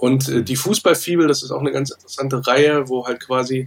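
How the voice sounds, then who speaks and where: A man's very fast speech at medium pitch, with fairly even intonation. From Wolfsburg, Lower Saxony, Germany. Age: 40s. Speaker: football fan podcaster and author. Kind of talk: casual chat.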